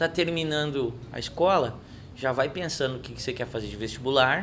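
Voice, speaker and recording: Audible room echo hangs around the voice. Its pace is moderate and its pitch variation ordinary. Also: man. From Rio Grande do Sul, Brazil (Ijuí). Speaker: singer-songwriter. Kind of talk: casual interview chat.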